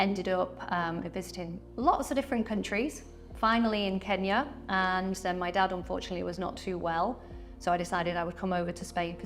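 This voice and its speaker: Music plays in the background as a woman speaks with a British accent. Her medium pitch shows ordinary variation, and her pace is moderate. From UK. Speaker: real estate agent. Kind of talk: interview.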